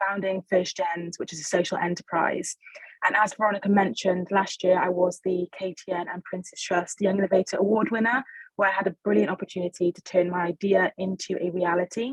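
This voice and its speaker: Speaking with a Welsh accent, a woman keeps her intonation fairly even while her loudness swings widely. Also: dry, close sound with no echo. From Wales. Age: 20s. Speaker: social enterprise founder. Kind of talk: webinar panel discussion.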